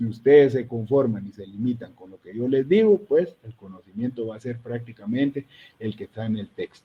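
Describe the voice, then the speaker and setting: A somewhat breathy man's voice of medium pitch at a moderate pace, with ordinary pitch variation and big swings in loudness. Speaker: university lecturer. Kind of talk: online lecture. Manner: serious.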